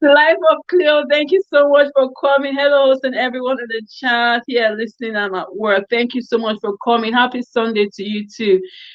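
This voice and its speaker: A woman's high-pitched voice shows ordinary pitch variation and keeps a moderate pace. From Nigeria, Warri, Delta State. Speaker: YouTuber. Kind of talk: live stream Q&A. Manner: animated.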